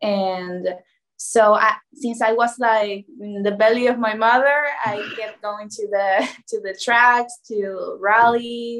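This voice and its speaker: Very slow speech from a woman, her intonation fairly even. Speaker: guest. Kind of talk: interview answer. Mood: friendly, smiling. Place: home room. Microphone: video call.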